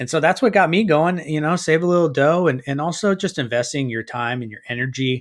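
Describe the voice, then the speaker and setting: Speaking at a fairly quick pace with hardly any pauses, a man with an American accent has an unremarkable speaking voice, a fairly high pitch and lively intonation. The recording is very clean, with a silent background. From California. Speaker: hunter who makes skull mounts. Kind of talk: casual chat.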